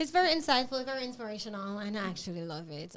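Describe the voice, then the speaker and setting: A woman with a Jamaican accent talks at a very fast pace and medium pitch. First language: Jamaican Patois. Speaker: podcast host. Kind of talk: casual interview chat. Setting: studio.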